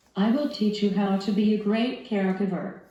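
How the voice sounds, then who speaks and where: Amid noticeable background noise and audible room echo, a woman speaks at a moderate pace in a medium pitch. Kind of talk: scripted instructional talk.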